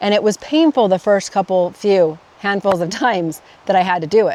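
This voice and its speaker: Mumbling at a moderate pace, a woman speaks at a medium pitch with lively intonation. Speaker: life coach podcaster. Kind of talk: casual vlog monologue. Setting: outdoors in a forest by a roadside. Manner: self-corrects, mumbling.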